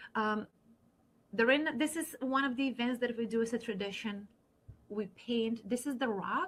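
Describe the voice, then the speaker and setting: A woman talks at a moderate speed, her voice somewhat breathy. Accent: non-native. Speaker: university admissions counselor. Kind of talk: online info session presentation.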